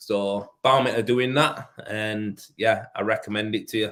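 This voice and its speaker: Medium-pitched man in a Yorkshire accent with monotone, flat intonation. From northern England, Leeds. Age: 30s. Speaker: rendering tradesman. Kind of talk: casual live stream chat. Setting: live stream.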